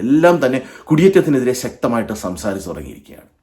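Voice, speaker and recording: This man's dark, mellow voice has vocal fry and very wide pitch swings. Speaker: YouTube vlogger. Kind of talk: monologue to camera.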